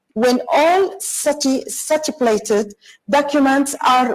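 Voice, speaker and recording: A woman with an Arabic accent speaks at a fairly slow pace in a high pitch, her intonation lively. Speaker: corporate lawyer and speaker. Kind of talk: online conference talk. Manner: halting, many fillers and restarts; apologetic.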